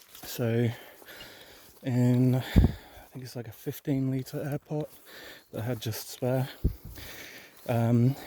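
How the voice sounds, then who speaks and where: Soft-spoken and very slow, a man with an English accent talks at medium pitch. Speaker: cannabis grower vlogger. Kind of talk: casual vlog monologue. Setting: outdoors.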